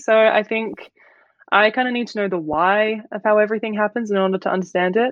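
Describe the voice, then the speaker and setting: Speaking in an Australian accent, a woman uses a fairly high pitch. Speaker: fashion brand founder and student. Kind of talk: casual interview chat.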